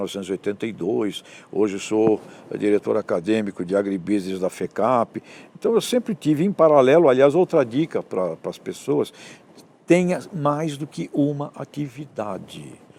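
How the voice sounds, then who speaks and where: The man's medium pitch and dark, mellow tone move in very wide pitch swings at a moderate pace. The sound is dry and close with no echo. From Brazil, Santos (São Paulo coast). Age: 60s. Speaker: professor and author. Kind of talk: interview.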